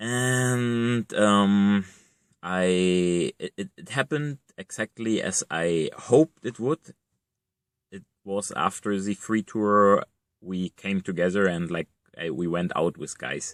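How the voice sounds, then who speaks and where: With a German accent, a man speaks at a very slow pace, using a fairly low pitch, ordinary pitch variation and long, frequent pauses. His loudness swings widely, and the sound is dry and close with no echo. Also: very clean recording, silent background. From East Germany. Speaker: vlogger. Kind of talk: casual monologue. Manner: halting, many fillers and repetitions.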